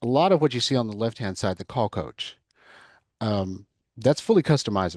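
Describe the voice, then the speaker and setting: A man with a Texas accent talks at a moderate pace and medium pitch, with lively intonation and a dry, close sound with no echo. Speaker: cloud consultant. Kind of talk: mock sales discovery call demo; podcast interview.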